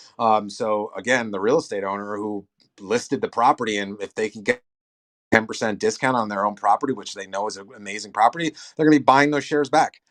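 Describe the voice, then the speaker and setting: Speech at a very fast pace with ordinary pitch variation and big swings in loudness, recorded dry and close with no echo against a quiet background. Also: man, fairly low pitch for a man. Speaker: real estate investment platform founder. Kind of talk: Q&A discussion. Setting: online audio chat room.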